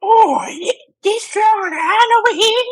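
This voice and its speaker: A woman puts on a character voice with an extremely high pitch. She speaks fairly slowly. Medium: audio drama. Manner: hesitant, stammering.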